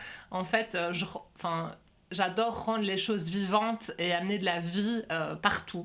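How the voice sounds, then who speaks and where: Here a woman talks at a medium pitch. Her intonation is fairly even. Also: fairly slow pace, big swings in loudness. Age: 40s. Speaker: workshop facilitator. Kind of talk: interview conversation. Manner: hesitant, many fillers.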